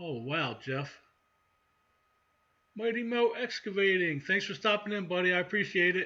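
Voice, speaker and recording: A man's raised, projected voice in an American accent, high in pitch and bright, sharp in tone, with lively intonation, moderate pace and long, frequent pauses. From central Maryland, near Baltimore. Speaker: outdoors channel host. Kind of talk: live stream chat with viewers. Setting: live stream. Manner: casual, conversational.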